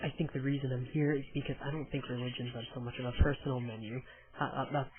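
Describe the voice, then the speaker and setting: A man at a very fast pace with monotone, flat intonation. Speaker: atheist. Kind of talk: casual video response answering questions.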